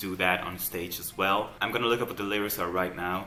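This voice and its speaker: Noticeable background noise and audible room echo fill the recording. A man with a Dutch accent speaks in a very deep, low pitch. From Netherlands. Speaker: YouTube music reactor. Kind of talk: reaction video commentary. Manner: quiet.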